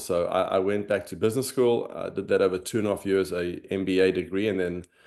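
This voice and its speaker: A man with a South African accent speaks at a fairly quick pace in a fairly low pitch. The background is quiet. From South Africa, Johannesburg. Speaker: former tennis pro, finance executive. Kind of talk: interview, personal story.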